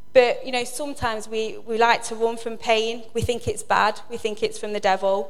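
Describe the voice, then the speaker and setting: Moderate pace with monotone, flat intonation. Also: woman. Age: 40s. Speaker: lay preacher. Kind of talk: sermon. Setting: church with congregation.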